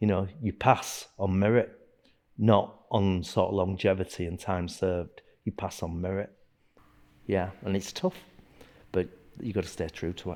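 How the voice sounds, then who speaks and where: A man speaks with a Yorkshire accent in a very deep, low voice, his intonation fairly even. Long pauses come often. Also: moderate pace. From Yorkshire, northern England. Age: 60s. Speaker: martial arts instructor. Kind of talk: interview. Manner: halting.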